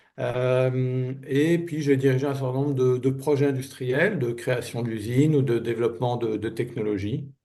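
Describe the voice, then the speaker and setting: In a medium pitch and a dark, mellow tone, a man talks at a fairly slow pace with hardly any pauses and fairly even intonation. Audible room echo surrounds the sound. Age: 60s. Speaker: business turnaround manager. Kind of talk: interview. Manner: hesitant, many fillers.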